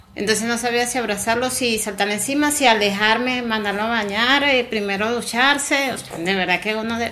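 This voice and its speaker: Noticeable background noise behind a woman's fairly high voice. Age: 40s. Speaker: wife of a returning migrant. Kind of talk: interview testimony.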